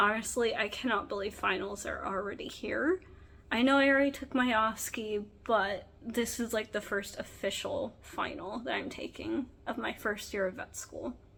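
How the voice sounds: A woman's fairly bright voice at medium pitch, moderate pace and fairly even intonation, with vocal fry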